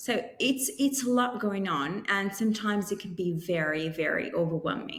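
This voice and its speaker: At a moderate pace, a woman talks in an Italian accent. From Italy, Milan. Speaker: career coach. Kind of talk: podcast interview.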